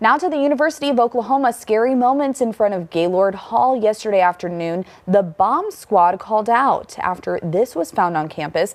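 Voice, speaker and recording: In an ordinary speaking voice, a woman talks at a fairly high pitch and a fairly quick pace, with lively intonation and hardly any pauses. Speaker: TV news reporter and anchor. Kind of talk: TV news report.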